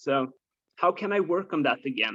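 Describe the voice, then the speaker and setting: The man has a non-native accent. He moves along at a moderate pace. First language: not English. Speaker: course participant. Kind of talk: question in group call. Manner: halting.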